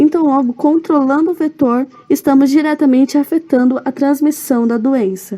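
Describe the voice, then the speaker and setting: Over noticeable background noise, a woman speaks with a high pitch and very even loudness. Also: ordinary pitch variation, moderate pace. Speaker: student presenting a seminar. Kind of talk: recorded seminar presentation.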